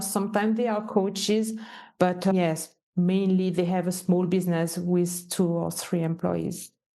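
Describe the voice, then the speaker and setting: A woman speaks at a moderate pace with a Swiss French accent, her pitch medium. Her intonation stays fairly even, and her tone is dark and mellow. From French-speaking Switzerland. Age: 50s. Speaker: entrepreneur and business mentor. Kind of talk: podcast interview.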